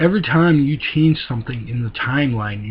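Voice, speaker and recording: Using a put-on character voice, a man talks at a fairly quick pace and a medium pitch. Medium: read story.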